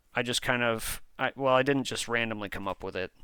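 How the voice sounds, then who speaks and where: A man talks at a fairly slow pace with a bright, sharp tone and a medium pitch. His pitch varies in an ordinary way, on a very clean recording with a silent background. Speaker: vlogger. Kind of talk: personal motivational vlog. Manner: hesitant, with fillers and restarts.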